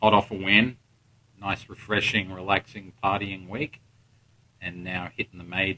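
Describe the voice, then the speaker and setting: A man with an Australian accent speaks at a moderate pace and a fairly low pitch. His intonation stays fairly even, broken by long, frequent pauses. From Australia, Melbourne. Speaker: golf podcast host and coach. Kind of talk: casual interview. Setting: in person at a tournament venue.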